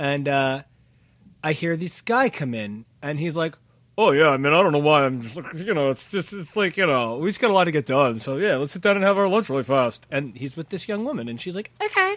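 A man with an American accent talks in an ordinary speaking voice, fairly high in pitch, with lively intonation and a fairly quick pace. The recording is very clean, with a silent background. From New Jersey, Sayreville. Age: 30s. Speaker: podcast co-host. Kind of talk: casual chat.

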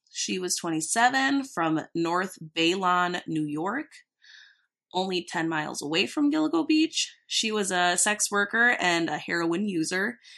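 A woman with a Minnesotan accent speaks at a medium pitch and a fairly slow pace, her bright, sharp tone animated with very wide pitch swings. The background is quiet. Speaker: true crime podcast host. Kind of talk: casual chat with storytelling of cases. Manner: animated, joking.

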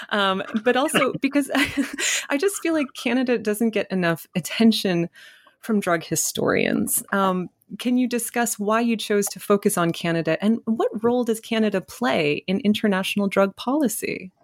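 A woman with a plain, everyday voice speaks at a moderate pace, fairly high in pitch with lively intonation, in a dry, close sound with no echo. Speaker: podcast host. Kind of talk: interview conversation.

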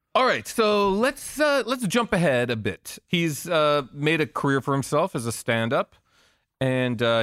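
In a very clean, dry, close recording with a silent background and no echo, a man with an unremarkable speaking voice talks fairly slowly at a fairly high pitch with lively intonation. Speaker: entertainment journalist and podcast host. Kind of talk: casual chat.

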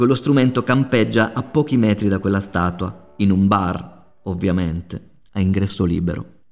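Here a man talks at a moderate pace with fairly low pitch and ordinary pitch variation, in an unremarkable speaking voice. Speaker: podcast host. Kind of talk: scripted narration.

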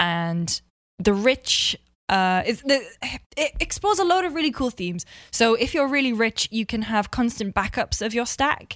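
A woman with a Geordie accent at a moderate pace, on a very clean recording with a silent background. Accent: Geordie (north-east English). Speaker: video game journalist. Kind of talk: casual chat. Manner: animated.

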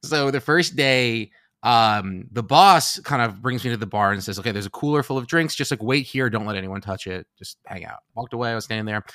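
A man with an American accent speaks at a fairly quick pace with hardly any pauses, his medium-pitched voice bright and sharp in tone and lively in intonation. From New York City, Upper West Side Manhattan. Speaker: comedian. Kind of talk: casual chat.

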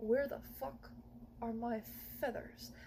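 Over clear background noise, a woman performs a put-on character voice. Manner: gruff, indignant.

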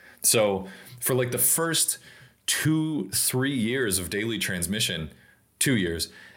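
Audible room echo surrounds a man of medium pitch who talks at a fairly slow pace with lively intonation. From Tennessee, near Nashville. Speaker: automotive storyteller and brand strategist. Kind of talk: casual chat.

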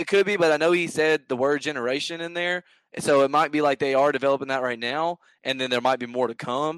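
Talking very fast with a Southern US accent, a man at a fairly high pitch shows ordinary pitch variation against a quiet background, the sound dry and close with no echo. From US South, Mississippi near Memphis. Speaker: gaming podcast guest. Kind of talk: casual chat.

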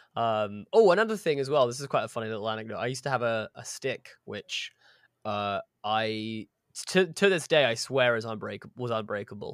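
A man with a southern English accent at a fairly quick pace, medium pitch with ordinary variation, big swings in loudness, dry, close sound with no echo, very clean recording, silent background. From southern England, Horsham. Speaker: actor and podcaster. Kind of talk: casual interview chat.

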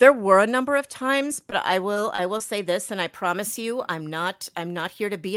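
In an American accent, a woman speaks at a moderate pace and medium pitch, in a very clean recording with a silent background and a dry, close sound with no echo. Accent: slight New York accent on some words. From Milwaukee, Wisconsin. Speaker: author and former journalist. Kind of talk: interview.

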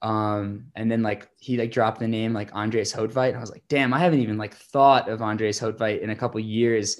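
A man with an unremarkable speaking voice talks at a medium pitch and a fairly quick pace, with hardly any pauses. His intonation is fairly even, and the background is quiet. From New York State, Hudson Valley. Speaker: entrepreneur and skier. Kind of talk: interview. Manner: casual, many fillers.

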